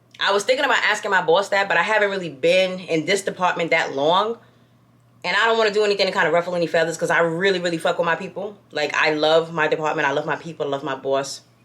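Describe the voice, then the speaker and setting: A woman with an American accent in an animated tone, at a very fast pace with ordinary pitch variation, over noticeable background noise. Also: fairly low pitch for a woman. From New York. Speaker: lifestyle vlogger. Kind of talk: casual chat.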